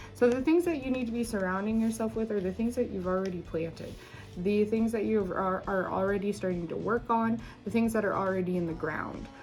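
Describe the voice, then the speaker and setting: Over noticeable background noise, a woman talks at a fairly quick pace at medium pitch with ordinary pitch variation. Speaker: tarot reader. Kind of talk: tarot reading. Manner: halting, many fillers; fast.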